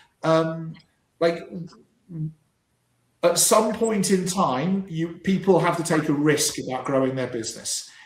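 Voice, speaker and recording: A man's high-pitched voice, full of lively intonation, carries audible room echo. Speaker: business coach. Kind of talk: live stream panel discussion. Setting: live stream. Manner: halting, repeats words.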